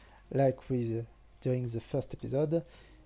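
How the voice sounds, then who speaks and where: Here is a man with a French accent and a medium pitch. The intonation remains fairly even. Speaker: game modder. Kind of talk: programming tutorial narration. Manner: hesitant, many filler sounds.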